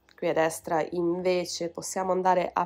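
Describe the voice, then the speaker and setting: A woman with a plain, everyday voice at a moderate pace. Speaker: language teacher and YouTuber. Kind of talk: tutorial.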